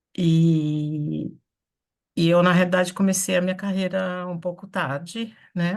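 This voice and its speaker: Speaking fairly slowly against a quiet background, a woman has an unremarkable speaking voice, a fairly low pitch and fairly even intonation. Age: 60s. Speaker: theatre artist. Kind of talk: online meeting discussion. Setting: video call from home office.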